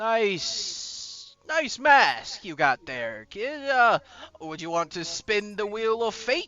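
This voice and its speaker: Using a put-on character voice, a man speaks at a high pitch and a very slow pace. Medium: actual play. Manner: posh, deadpan, condescending.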